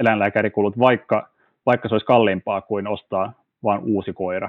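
A man is speaking. His pace is fairly quick. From Finland, Turku. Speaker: legal researcher. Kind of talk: interview. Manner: hesitant, many fillers.

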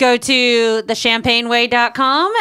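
A woman's high, bright, sharp voice on a very clean recording with a silent background. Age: 30s. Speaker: podcast co-host, works with songwriters. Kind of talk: casual chat.

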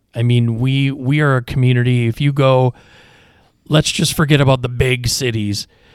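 Fairly even intonation and a moderate pace from a man with a medium-pitched voice. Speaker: podcast host. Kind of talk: interview podcast. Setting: studio. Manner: relaxed, soothing.

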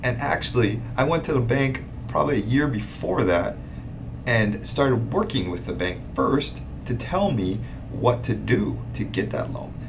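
With audible room echo and noticeable background noise, a man talks at a fairly slow pace. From Hawaii, Big Island (Hilo). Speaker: real estate investor and podcast host. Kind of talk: casual monologue. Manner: casual, filler-heavy.

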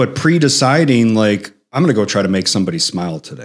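A man with a Chicago accent speaks at a fairly quick pace with lively intonation. The recording is very clean, with a silent background. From Chicago, South Side. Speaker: author and executive coach. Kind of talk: interview conversation. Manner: animated.

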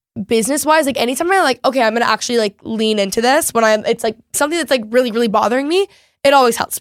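A woman's fairly high voice with ordinary pitch variation on a very clean recording with a silent background. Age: 20s. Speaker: content creator and podcast host. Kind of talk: casual chat. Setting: studio.

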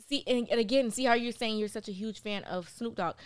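On a very clean recording with a silent background, a woman with an American accent speaks in an ordinary speaking voice, fairly high in pitch with ordinary pitch variation. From Miami, Florida. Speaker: TV producer. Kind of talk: casual chat.

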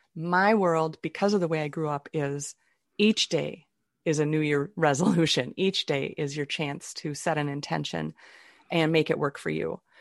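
Over a quiet background, a woman with a very deep, low pitch talks at a moderate pace with fairly even intonation, the sound dry and close with no echo. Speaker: author and improv comedian. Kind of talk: interview.

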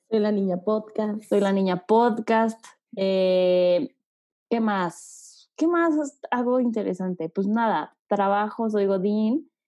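Very slow and very even in loudness, a woman's dark, mellow voice stays at medium pitch with ordinary pitch variation against a quiet background. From Mexico City. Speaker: podcast host. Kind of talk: casual chat, podcast trailer.

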